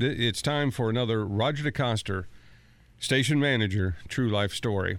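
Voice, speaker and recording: A man with an unremarkable speaking voice at medium pitch, moderate pace, very even loudness and ordinary pitch variation. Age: 50s. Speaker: station manager. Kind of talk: casual storytelling. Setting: studio.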